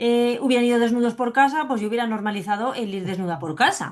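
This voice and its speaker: A woman's fairly high-pitched voice in an animated tone. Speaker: psychologist and biodecoding specialist sharing her fibromyalgia testimony. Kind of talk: interview.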